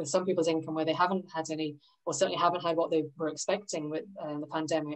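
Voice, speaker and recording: A woman speaks at a very fast pace with monotone, flat intonation and a fairly low pitch. The background is quiet. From London, England. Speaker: financial advisor; presenter. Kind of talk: presentation to a workshop group. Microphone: video call.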